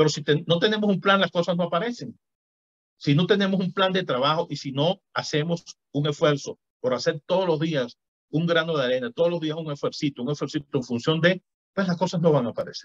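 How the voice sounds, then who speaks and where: Recorded dry and close with no echo, a man with a high pitch talks at a fairly quick pace with ordinary pitch variation. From Venezuela. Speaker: physician and author. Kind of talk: interview conversation.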